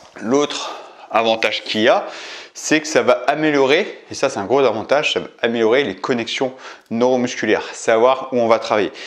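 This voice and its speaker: The speaker is a man. He talks at a moderate pace. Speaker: fitness coach. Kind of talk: tutorial. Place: gym. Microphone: camera far.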